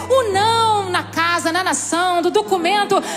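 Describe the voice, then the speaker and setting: Over music in the background, a woman talks in an extremely high pitch. Her tone is animated and her pace fairly slow. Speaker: preacher. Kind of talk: sermon.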